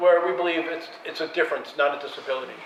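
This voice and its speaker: A high-pitched man with an American accent talks at a fairly quick pace. There is noticeable background noise and audible room echo. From United States. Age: 60s. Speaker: filmmaker. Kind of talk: panel discussion. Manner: animated.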